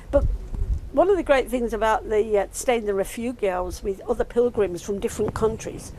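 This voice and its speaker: With an Australian accent, the speaker moves at a moderate pace with lively intonation over noticeable background noise. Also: woman. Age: 80s+. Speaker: retired traveller recalling a pilgrimage. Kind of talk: interview, personal reminiscence. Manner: hesitant, with fillers and restarts.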